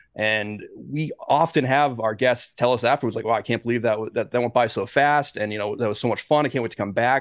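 With a normal speaking voice, a man talks at a fairly quick pace and medium pitch, his intonation fairly even, hardly any pauses, and the background quiet. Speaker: musician and podcast co-host. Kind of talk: casual interview chat.

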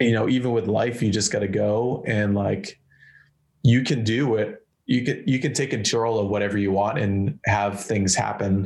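A man's fairly low, somewhat breathy voice with an American accent, very even loudness, fairly even intonation and a moderate pace over a quiet background. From Massachusetts, between Boston and Worcester. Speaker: hardcore guitarist. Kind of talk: casual chat. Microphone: laptop mic.

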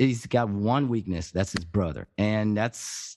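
With a French accent, a man speaks at a fairly slow pace against a quiet background. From France. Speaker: podcast host, guest. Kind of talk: casual chat. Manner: halting.

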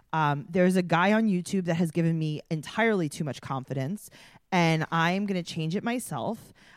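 A woman's fairly low voice with an American accent, an ordinary speaking voice at a moderate pace with ordinary pitch variation, very clean recording, silent background. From New York (Queens). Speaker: podcast co-host. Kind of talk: casual chat.

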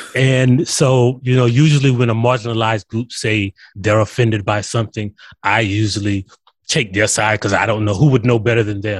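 With an American accent, a man at a medium pitch speaks at a fairly quick pace in a somewhat breathy voice with fairly even intonation, the sound dry and close with no echo. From South Carolina. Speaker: writer and author. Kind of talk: interview.

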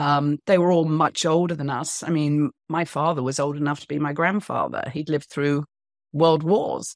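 Against a quiet background, a woman with a British accent speaks at a moderate pace in a very deep, low voice with fairly even intonation, the sound dry and close with no echo. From England. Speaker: author and women's empowerment speaker. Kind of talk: interview.

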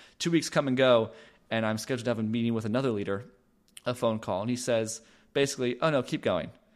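In an American accent, the speaker goes at a very fast pace with fairly even intonation on a very clean recording with a silent background. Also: man, medium pitch for a man. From Los Angeles, California. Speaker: author and podcaster. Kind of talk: interview conversation.

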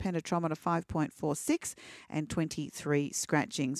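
The sound is dry and close with no echo as a woman talks on a very clean recording over a silent background. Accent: Australian. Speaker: racing reporter. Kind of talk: reading race scratchings and racing news.

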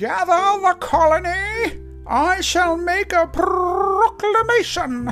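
A put-on character voice speaks at a very slow pace. Clear music plays in the background. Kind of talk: grand, proclamatory. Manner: heroic, regal.

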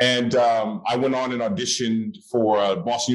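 A man talks at a moderate pace. He has an ordinary speaking voice. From US West Coast, Oakland, California. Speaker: actor. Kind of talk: casual interview.

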